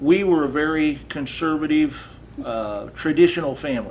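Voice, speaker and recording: A man speaks with a Midwestern American accent. His pace is moderate and his pitch variation ordinary. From Iowa, USA. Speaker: Vietnam War veteran, Navy Seabee. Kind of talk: oral history interview answer.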